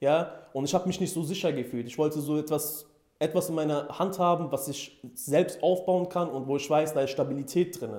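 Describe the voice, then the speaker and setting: A man speaks at a moderate pace with ordinary pitch variation. His voice sits fairly high for a man. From Germany, near Frankfurt (Hesse). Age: 20s. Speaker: e-commerce entrepreneur, coaching client. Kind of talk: interview testimonial. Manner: hesitant, many fillers.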